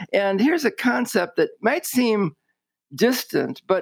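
A man at a fairly slow pace with ordinary pitch variation, on a very clean recording with a silent background. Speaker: industry colleague and co-host. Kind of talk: casual conversation.

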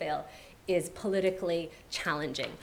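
Noticeable background noise is present. The woman's medium-pitched voice has ordinary pitch variation. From Iran. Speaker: panel moderator, journalist and writer. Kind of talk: panel discussion. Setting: stage with audience.

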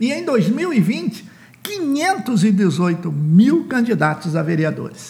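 Against noticeable background noise, the speech moves at a very slow pace with very wide pitch swings. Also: man, high pitch for a man. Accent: Brazilian. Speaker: author and political consultant promoting his book. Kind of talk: promotional podcast monologue on elections.

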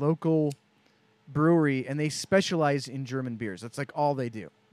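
An unremarkable speaking voice carries ordinary pitch variation. The recording is very clean with a silent background and a dry, close sound with no echo. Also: man. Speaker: co-host or guest. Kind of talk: casual chat.

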